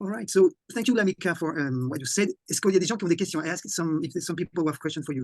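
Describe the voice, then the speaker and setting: A man with a French accent talks very fast in a high voice with ordinary pitch variation. The sound is dry and close, without echo. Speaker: conference host and interpreter. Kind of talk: interpreted online presentation. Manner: halting, repeats words.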